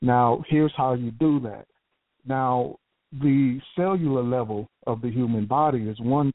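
The speech comes at a fairly slow pace in a Southern US accent. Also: man, medium pitch for a man, ordinary pitch variation. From Texas, Houston. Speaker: caller, scientist and inventor. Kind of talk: call-in conversation.

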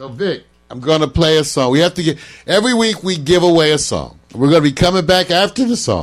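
A man talks quickly-ish with a fairly high pitch and lively intonation while music plays behind him. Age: 60s. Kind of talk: casual chat. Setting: livestream.

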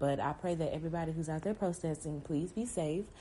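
A woman's very deep, low-pitched voice with a dark, mellow tone, ordinary pitch variation and a fairly quick pace. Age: 20s. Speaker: podcast host. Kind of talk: solo podcast monologue.

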